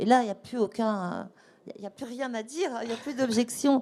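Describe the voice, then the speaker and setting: A woman's fairly high voice with a dark, mellow tone and ordinary pitch variation. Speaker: fashion author and ethical fashion advocate. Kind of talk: panel talk with audience Q&A. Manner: fast.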